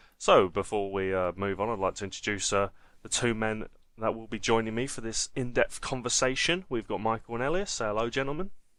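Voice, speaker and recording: A man speaks fairly quickly with a strong Essex accent and a medium pitch. His pitch varies in an ordinary way over a quiet background. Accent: Essex, stronger than usual. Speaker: football podcast host. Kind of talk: casual chat.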